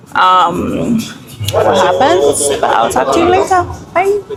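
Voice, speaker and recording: A woman speaks in an American accent with music playing in the background. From Nigeria. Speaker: travel vlogger. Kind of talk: casual vlog talk to camera. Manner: animated.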